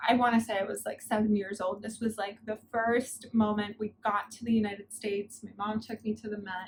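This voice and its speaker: The voice is somewhat breathy and runs at a fairly quick pace with hardly any pauses, its intonation monotone and flat. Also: woman, fairly high pitch for a woman. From New York, born in Soviet Union. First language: Russian. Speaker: art consultant. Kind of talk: casual interview.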